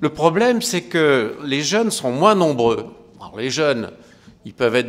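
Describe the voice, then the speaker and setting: Audible room echo surrounds a man speaking at a fairly slow pace. His pitch swings very widely. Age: 60s. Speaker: geriatrician. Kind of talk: conference talk. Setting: lecture hall with audience. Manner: conversational, hesitant.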